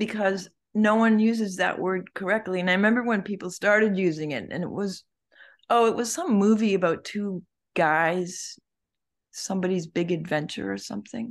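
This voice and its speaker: A woman speaks at a moderate pace in a medium pitch, with ordinary pitch variation against a quiet background. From Prince Edward Island, Canada. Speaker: visual artist. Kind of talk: interview. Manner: halting.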